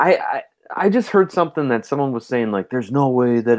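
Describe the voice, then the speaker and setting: A man with an Upper Midwest accent talks at a moderate pace with lively intonation. The background is quiet. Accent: Upper Midwest (Minnesota). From Minnesota. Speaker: podcast co-host. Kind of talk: casual chat.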